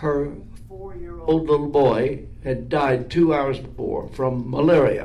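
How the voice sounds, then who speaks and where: A man talking at a very slow pace over noticeable background noise. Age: 80s. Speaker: minister and author. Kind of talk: casual conversation with prayer.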